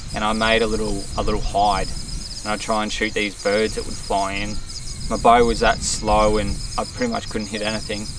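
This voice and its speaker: A man in an Australian accent, fairly low-pitched and fairly quick, with monotone, flat intonation, audible room echo and noticeable background noise. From Australia, Victoria. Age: 20s. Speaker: bowhunting vlogger. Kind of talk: casual vlog talk to camera. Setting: outdoors in the bush. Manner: hesitant, with restarts.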